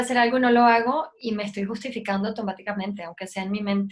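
With fairly even intonation, a woman speaks at a very fast pace and a fairly high pitch. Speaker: lactation specialist. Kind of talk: casual interview chat. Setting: video call.

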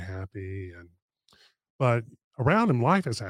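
A man speaks at a moderate pace with an American accent. He has an ordinary speaking voice, on a very clean recording with a silent background. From North Carolina. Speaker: podcast host and financial planner. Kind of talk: casual interview. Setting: studio.

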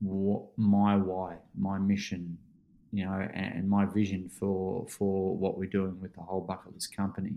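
Speaking slowly in an Australian accent, a man uses a fairly low pitch, a dark, mellow tone and flat, monotone intonation. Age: 40s. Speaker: life coach and keynote speaker. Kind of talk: casual interview.

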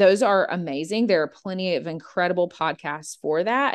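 A woman with an unremarkable speaking voice and an American accent talks at a moderate pace and medium pitch, with ordinary pitch variation. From Georgia, US. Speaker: podcast co-host. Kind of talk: casual chat.

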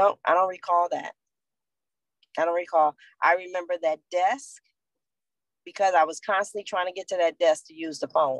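A woman's fairly low voice with an American accent, at a moderate pace, with ordinary pitch variation, big swings in loudness and long, frequent pauses, in a dry, close sound with no echo. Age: 50s. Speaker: abuse survivor. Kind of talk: testimony.

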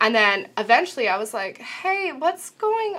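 Her voice has a bright, sharp tone with very wide pitch swings. The woman talks at a fairly slow pace. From Canada. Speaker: co-host. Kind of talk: casual chat.

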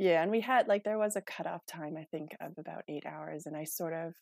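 At a fairly quick pace, a woman with a fairly low pitch and ordinary pitch variation speaks in a dry, close sound with no echo, in a very clean recording with a silent background. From Canada, rural Manitoba. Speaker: trail runner and hiker. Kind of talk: casual interview chat.

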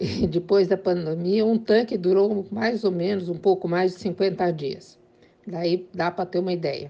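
With a dark, mellow tone, a woman talks in a fairly even intonation. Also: medium pitch for a woman, fairly slow pace. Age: 70s. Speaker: homemaker, interviewee. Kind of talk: interview testimony.

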